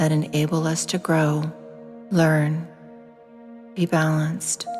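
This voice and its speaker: A woman speaks at a very slow pace in a very deep, low voice. Music plays in the background. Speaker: meditation guide. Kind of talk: guided meditation narration.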